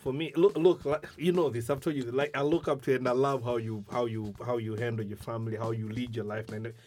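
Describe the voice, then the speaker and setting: With an East African accent, a man speaks at a medium pitch and fairly quick pace. His pitch varies in an ordinary way, and he hardly pauses. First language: Swahili. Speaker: podcast host. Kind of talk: casual chat.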